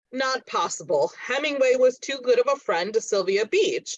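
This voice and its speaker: In a put-on character voice, the speaker talks at a fairly high pitch with very wide pitch swings. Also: moderate pace. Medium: stage play. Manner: wry, playful.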